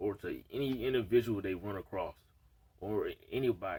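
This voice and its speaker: A man speaks with medium pitch. His voice is somewhat breathy. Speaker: vlogger. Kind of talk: casual monologue vlog. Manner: halting, stuttering.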